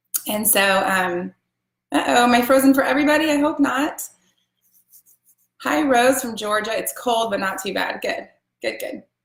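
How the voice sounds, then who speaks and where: With long, frequent pauses, a woman speaks at a moderate pace and a high pitch with lively intonation. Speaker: essential oils seller. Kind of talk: live stream class. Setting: live video stream. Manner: casual, filler words.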